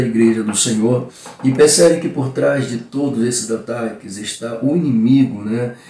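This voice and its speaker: With noticeable background noise behind him, a man speaks at a fairly slow pace. His pitch is medium and varies in an ordinary way. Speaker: pastor and Bible school teacher. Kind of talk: Bible lesson teaching. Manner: animated.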